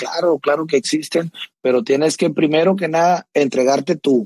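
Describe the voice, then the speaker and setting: A man with a fairly high voice talks in a dry, close sound that has no echo. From Mexico, Sinaloa (near Culiacán). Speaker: regional Mexican singer. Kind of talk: casual chat. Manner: halting, frequent repetitions.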